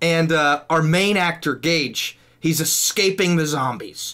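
Very slow speech from a man with a high pitch and ordinary pitch variation, over a quiet background. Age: 20s. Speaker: YouTube video creator and podcast co-host; YouTube video creator, podcast co-host. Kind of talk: casual chat. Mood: playful, laughing. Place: home room. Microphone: studio mic.

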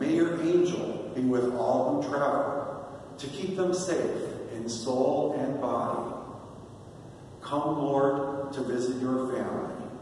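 Amid light background noise and strong room echo, a man speaks at a very slow pace with ordinary pitch variation and long, frequent pauses. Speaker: deacon leading prayer. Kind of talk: liturgical prayer, leading intercessions and responses. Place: church.

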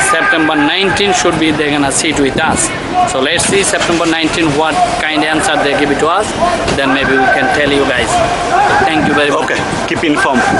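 Through loud background noise, a man talks fairly fast, his pitch shifting by a normal amount. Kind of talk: street interview answer. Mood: grieving, upset. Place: street. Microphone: phone near.

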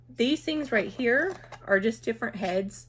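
Light background noise can be heard. The speaker is a woman. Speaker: product reviewer. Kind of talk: product review tutorial. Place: home room. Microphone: phone near.

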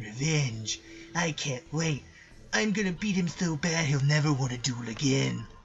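A man's put-on character voice, fairly high in pitch, over clear background noise. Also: moderate pace. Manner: strained, forceful.

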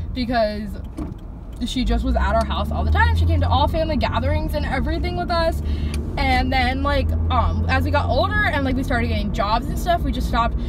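A woman keeps a fairly quick pace amid loud background noise, her sound dry with no echo. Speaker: vlogger. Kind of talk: casual vlog chat. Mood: relaxed, chatty. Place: car. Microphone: phone near.

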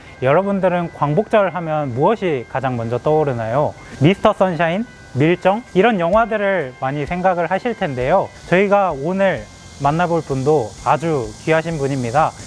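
Music plays in the background as a man speaks at a moderate pace, with a fairly high pitch and lively intonation. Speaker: newspaper political reporter. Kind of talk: interview questions to camera and interviewee.

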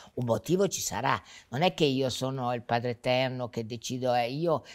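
A woman speaks at a moderate pace against a quiet background, her pitch varying in an ordinary way. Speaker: interviewee. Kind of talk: interview answer. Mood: warm, amused. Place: studio. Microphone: lapel.

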